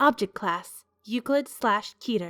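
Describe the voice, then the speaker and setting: With music in the background, a woman at a fairly high pitch speaks with very wide pitch swings in a dry, close sound with no echo. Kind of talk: horror fiction narration.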